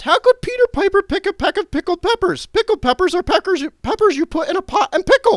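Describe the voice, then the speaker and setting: A man puts on a squeaky character voice at an extremely high pitch. He talks at a very fast pace with hardly any pauses. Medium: read story. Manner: innocent, earnest.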